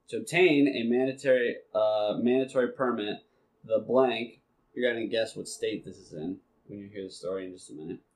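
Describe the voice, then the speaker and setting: A man's fairly quick, medium-pitched delivery in a normal speaking voice, with ordinary pitch variation and big swings in loudness. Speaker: podcast host. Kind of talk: casual chat.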